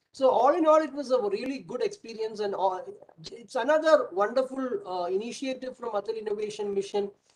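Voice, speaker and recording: A man with an extremely high pitch talks at a fairly quick pace. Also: ordinary pitch variation. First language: Malayalam. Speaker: professor and startup mentor. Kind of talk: webinar panel remarks. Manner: halting, many fillers.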